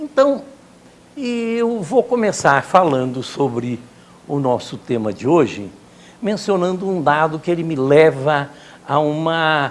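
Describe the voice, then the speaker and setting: A man speaks at a very slow pace with lively intonation and a fairly high pitch. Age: 70s. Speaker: lecturer. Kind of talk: lecture.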